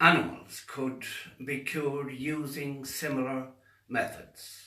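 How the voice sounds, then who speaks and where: A man speaks at a very slow pace in a monotone, flat delivery, with noticeable background noise and audible room echo. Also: fairly high pitch for a man. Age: 70s. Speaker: faith healer. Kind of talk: monologue to camera.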